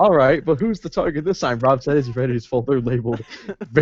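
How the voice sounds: A natural reading voice with lively intonation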